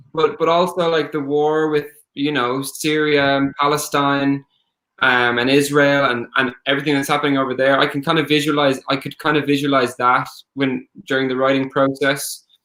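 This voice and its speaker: A man's fairly high, bright and sharp voice in an Irish accent, moderate in pace and flat and monotone in intonation, on a very clean recording with a silent background. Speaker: singer-songwriter. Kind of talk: interview.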